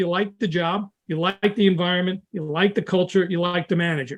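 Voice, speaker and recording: A man's high voice at a fairly quick pace with fairly even intonation. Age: 70s. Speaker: recruitment consultant. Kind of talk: interview. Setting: podcast.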